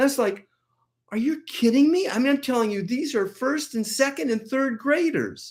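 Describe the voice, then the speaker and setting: A woman's animated tone and lively intonation in a very clean recording with a silent background. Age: 70s. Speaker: acupressure teacher. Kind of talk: tutorial.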